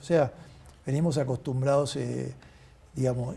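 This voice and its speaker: A man speaks in an ordinary speaking voice, keeping to a moderate pace. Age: 60s. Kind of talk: interview.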